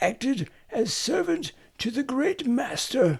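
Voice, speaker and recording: A man's put-on character voice, raspy and extremely high, with very wide pitch swings at a fairly slow pace. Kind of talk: old-fashioned fairy tale reading. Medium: read story.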